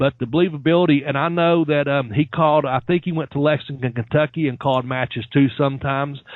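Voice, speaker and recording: A man with a plain, everyday voice, fairly high-pitched, at a fairly quick pace. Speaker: podcast host discussing wrestling announcers. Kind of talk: casual podcast talk, enthusiastic.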